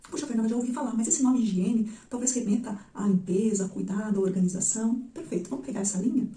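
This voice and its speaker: A soft-spoken woman with a fairly high pitch talks at a very fast pace with ordinary pitch variation, amid audible room echo and noticeable background noise. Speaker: psychologist. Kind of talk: educational video monologue.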